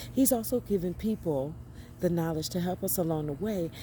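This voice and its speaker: At a moderate pace, a woman uses a normal speaking voice with a fairly low pitch and ordinary pitch variation. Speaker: spiritual vlogger. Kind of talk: inspirational monologue.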